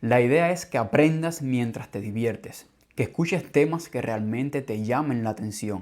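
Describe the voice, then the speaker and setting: A man with a medium pitch talks in a normal speaking voice at a moderate pace with ordinary pitch variation, on a very clean recording with a silent background. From Cuba. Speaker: language teacher, podcast host. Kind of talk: scripted podcast monologue for learners. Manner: clear, measured.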